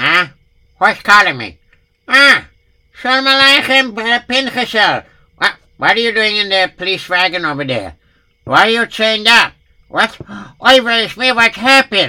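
Putting on a character voice, a man talks at a high pitch and a moderate pace with lively intonation and long, frequent pauses. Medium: read story.

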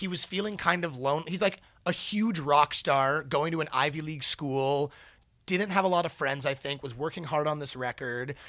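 A man with a plain, everyday voice, pitched fairly high, speaks at a moderate pace with ordinary pitch variation. The recording is very clean, with a silent background. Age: 20s. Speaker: podcast co-host. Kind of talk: casual chat.

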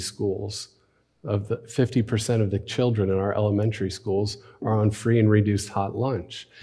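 Over a silent background in a very clean recording, a man with a fairly low pitch speaks at a moderate pace, somewhat breathy, with a dark, mellow tone and monotone, flat intonation. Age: 40s. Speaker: pastor. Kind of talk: sermon.

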